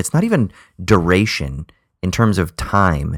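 The voice carries an American accent. The recording is very clean with a silent background. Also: man. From Southern California. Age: 30s. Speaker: podcast co-host. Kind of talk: casual chat.

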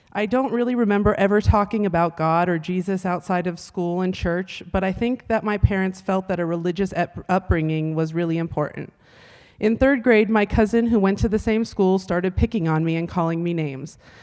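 A woman with an ordinary speaking voice, medium pitch and ordinary pitch variation, in a very clean recording with a silent background. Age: 30s. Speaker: church member sharing recovery testimony. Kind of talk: testimony.

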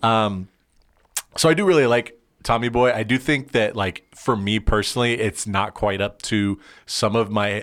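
A man's fairly low-pitched, an unremarkable speaking voice, at a moderate pace. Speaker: podcast host. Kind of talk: casual chat.

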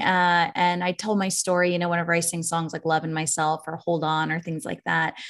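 An unremarkable speaking voice talks at a fairly quick pace. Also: woman, quiet background. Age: 40s. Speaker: musician and life coach. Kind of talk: casual chat.

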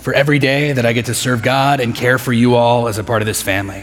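At a moderate pace, a man talks in a medium pitch with ordinary pitch variation. The recording has audible room echo and noticeable background noise. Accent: American. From Texas (Midland, West Texas). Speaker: pastor. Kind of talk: sermon.

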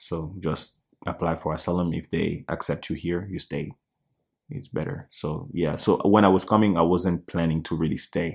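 In a Congolese accent, a man with a very deep, low voice speaks at a moderate pace with ordinary pitch variation, on a very clean recording with a silent background. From Democratic Republic of the Congo. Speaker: church keyboardist and music producer. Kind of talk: casual interview.

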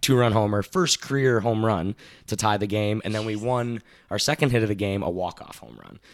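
A man talks fairly quickly in a plain, everyday voice, fairly low in pitch with ordinary pitch variation and big swings in loudness. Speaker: baseball insider who worked for a baseball team. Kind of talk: casual chat.

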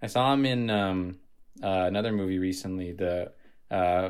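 With ordinary pitch variation, a man talks in a fairly low pitch. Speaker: podcast co-host. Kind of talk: casual chat. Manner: playful, animated.

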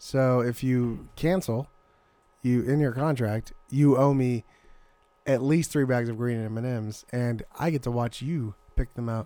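Music plays in the background as a man talks at a fairly slow pace. His medium-pitched voice holds a fairly even intonation. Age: 30s. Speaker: podcast co-host. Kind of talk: casual comedic banter. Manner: playful, laughs often.

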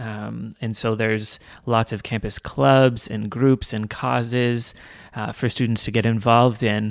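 With a Canadian accent, a man speaks in a normal speaking voice at a medium pitch and a fairly slow pace, his intonation fairly even, on a very clean recording with a silent background. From Canada, Toronto. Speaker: campus minister. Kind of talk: interview.

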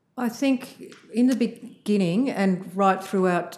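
In an Australian accent, a woman with a dark, mellow tone speaks at a fairly slow pace with ordinary pitch variation. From Australia (Sydney). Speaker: visual artist and art lecturer. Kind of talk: interview. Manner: halting, many fillers.

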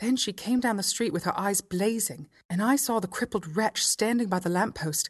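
The speaker reads plainly aloud, and the pitch shifts an ordinary amount.

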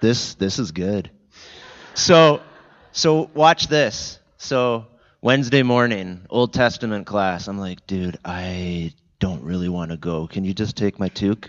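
A man with a Canadian accent has a normal speaking voice and a fairly low pitch. He talks at a fairly slow pace with lively intonation. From Southern Ontario, Canada (Niagara region). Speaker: church guest speaker. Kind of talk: conversational interview in church service. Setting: church service with congregation.

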